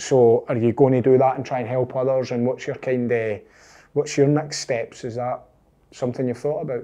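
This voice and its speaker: The voice has a dark, mellow tone and a Scottish accent. Its intonation is monotone and flat. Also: man, medium pitch for a man, moderate pace. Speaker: podcast host. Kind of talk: interview.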